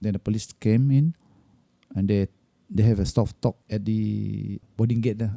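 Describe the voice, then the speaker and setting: A man talks with a Malaysian accent, leaving long, frequent pauses. The sound is dry and close, with no echo. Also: moderate pace. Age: 60s. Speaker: airline cabin crew. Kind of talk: interview answer. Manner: storytelling.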